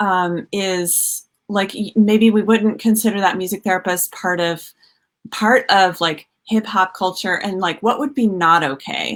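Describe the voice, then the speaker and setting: This woman talks at a fairly slow pace. Her pitch sits in the medium range and varies in an ordinary way. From US South, Georgia. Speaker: music therapist, livestream host. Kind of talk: live video conversation. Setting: livestream.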